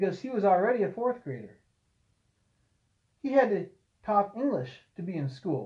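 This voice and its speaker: Speaking at a high pitch, a man lets his voice swing very widely. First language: Czech (Bohemian). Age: 70s. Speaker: farmer. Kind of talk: oral history storytelling.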